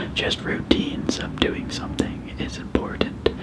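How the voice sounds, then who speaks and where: A man whispers in a relaxed tone against noticeable background noise. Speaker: ASMR creator. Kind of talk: casual talk to camera. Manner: soft-spoken, relaxed.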